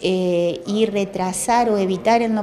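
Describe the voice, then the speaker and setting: There is noticeable background noise behind the speaker. She is a woman with fairly even intonation. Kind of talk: interview answer. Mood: calm, informative. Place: office.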